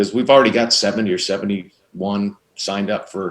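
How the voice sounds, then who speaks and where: A man at a moderate pace. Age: 60s. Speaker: baseball clinic director. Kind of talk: interview. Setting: video call. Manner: animated.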